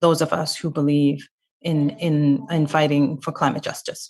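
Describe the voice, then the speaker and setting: The recording is very clean, with a silent background. A woman talks fairly slowly at a very deep, low pitch with fairly even intonation. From South African family, grew up in exile. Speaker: activist. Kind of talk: panel talk. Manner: hesitant, many fillers.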